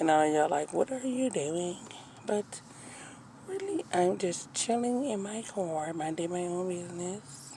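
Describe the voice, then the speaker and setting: Whispering at a fairly slow pace, a woman can be heard through noticeable background noise. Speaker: vlogger. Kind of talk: casual vlog chat. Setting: in a car.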